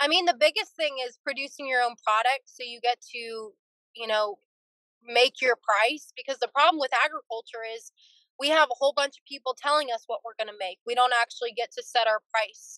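A woman speaks high and at a fairly quick pace in a bright, sharp tone, with ordinary pitch variation and big swings in loudness. The sound is dry with no echo, over a quiet background. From California, Fresno area. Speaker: dairy farmer. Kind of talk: interview. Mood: earnest, concerned. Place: car. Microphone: video call.

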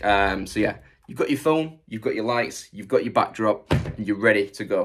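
The man talks at a moderate pace. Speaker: online reseller. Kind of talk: tutorial. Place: workshop. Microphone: phone near.

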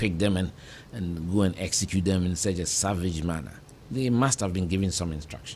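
A somewhat breathy voice with a dark, mellow tone speaks at a fairly quick pace over light background noise. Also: man. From Ghana, Kumasi; Ghana. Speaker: politician and civil engineer; politician. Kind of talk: interview. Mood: reflective, earnest. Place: studio. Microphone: studio mic.

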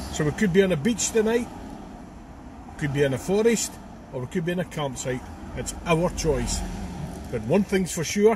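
A man at a moderate pace with long, frequent pauses, dry sound with no echo, and noticeable background noise. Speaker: passenger vlogger. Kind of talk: casual vlog chat. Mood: cheerful holiday mood. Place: car. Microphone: phone near.

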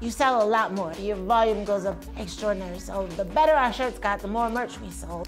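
A woman's medium-pitched voice with an American accent at a fairly quick pace, with music in the background. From United States. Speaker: singer-songwriter. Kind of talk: interview answer.

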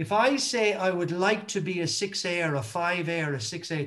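Against a quiet background, a man with a high pitch talks at a very slow pace, his tone bright and sharp and his intonation lively. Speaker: motivational speaker. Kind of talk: motivational talk. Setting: video call. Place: home room. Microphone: video call.

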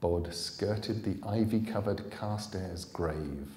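A man speaks at a very slow pace with lively intonation, and audible room echo surrounds his voice. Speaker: author reading his own book. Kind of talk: live audiobook reading. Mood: calm, suspenseful storytelling. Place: hall. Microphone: podium.

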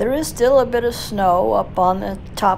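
A woman talks at a moderate pace against light background noise. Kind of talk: casual ride narration. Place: motorbike. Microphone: helmet.

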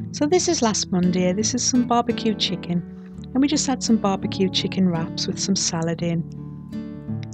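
With a Geordie accent, a woman talks with hardly any pauses. Music plays in the background. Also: moderate pace. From North East England. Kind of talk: casual food vlog narration.

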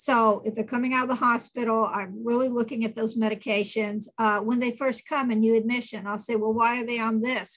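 A woman talks at a moderate pace in a fairly high, somewhat breathy voice against a quiet background. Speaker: nurse practitioner giving a talk. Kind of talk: lecture. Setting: online video meeting. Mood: warm, practical, earnest. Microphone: webcam.

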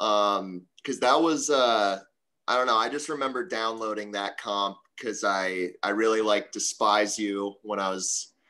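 With an American accent, a man speaks at a fairly slow pace in a fairly low, bright and sharp voice with ordinary pitch variation against a quiet background. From US East Coast. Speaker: hardcore band singer. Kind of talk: casual chat. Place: home room. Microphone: video call.

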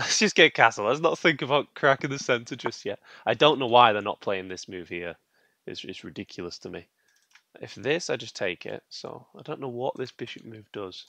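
A man's bright, sharp voice with big swings in loudness at a moderate pace, dry with no echo, over a quiet background. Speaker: chess streamer. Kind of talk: commentary while playing online chess. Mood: mildly annoyed, relaxed. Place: home room. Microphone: headset.

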